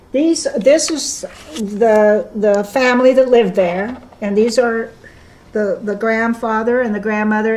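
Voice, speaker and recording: With noticeable background noise behind her, a woman speaks at a fairly slow pace and fairly high pitch, with ordinary pitch variation. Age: 70s. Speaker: community center president. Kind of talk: interview answer.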